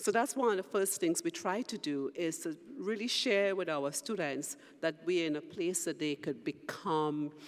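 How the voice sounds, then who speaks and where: The speaker has a Trinidadian accent and keeps a fairly slow pace. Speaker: university president. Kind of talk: panel discussion.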